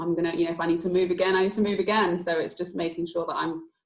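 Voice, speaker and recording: Speaking at a very fast pace, a woman has a southern English accent. Her voice is fairly low, with fairly even intonation. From London, England (northwest London). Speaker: athlete. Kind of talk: panel discussion.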